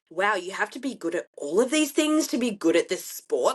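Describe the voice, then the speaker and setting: In an Australian accent, a woman speaks in an animated tone with very wide pitch swings. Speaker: bikini athlete and CrossFit competitor. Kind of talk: casual chat.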